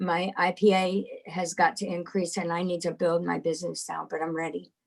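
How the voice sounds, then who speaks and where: Speaking at a fairly slow pace, a woman has an ordinary speaking voice. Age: 60s. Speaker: community member sharing testimony. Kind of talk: testimony.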